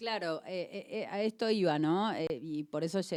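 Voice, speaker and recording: An unremarkable speaking voice with lively intonation, on a very clean recording with a silent background. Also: woman. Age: 40s. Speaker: radio host. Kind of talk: radio interview, casual chat. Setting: radio studio.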